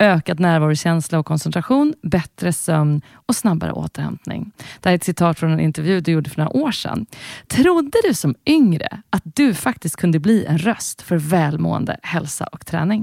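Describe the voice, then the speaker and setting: With an unremarkable speaking voice, a woman talks at a moderate pace in a fairly low pitch. Her intonation is lively, and the sound is dry and close with no echo. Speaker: podcast host and singer. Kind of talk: interview.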